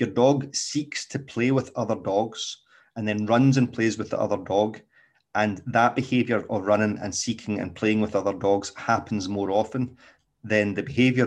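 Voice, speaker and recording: In a Scottish accent, a man speaks at a fairly low pitch and moderate pace. His intonation stays fairly even against a quiet background. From Scotland. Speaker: dog trainer. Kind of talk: solo podcast talk. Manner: casual, with many fillers.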